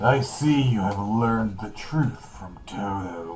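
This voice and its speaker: A man's put-on character voice, fairly low in pitch and fairly slow in pace, over clear background noise. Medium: comedy sketch. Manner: solemn, cryptic.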